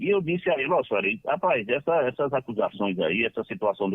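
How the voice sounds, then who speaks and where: This is a man's voice. Its pitch swings very widely. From Northeast Brazil, Ceará (Lavras da Mangabeira). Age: 60s. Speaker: football club council member. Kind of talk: radio interview. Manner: halting.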